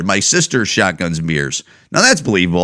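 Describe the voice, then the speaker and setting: A man with a Midwestern American accent speaks in a bright, sharp, animated tone with very wide pitch swings. The recording is very clean, with a silent background. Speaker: comedian podcast host. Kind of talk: casual monologue.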